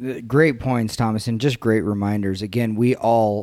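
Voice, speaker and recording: A man's fairly low voice, a plain, everyday voice, at a moderate pace with fairly even intonation. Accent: American. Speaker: podcast host. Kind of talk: casual chat. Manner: jovial, bantering.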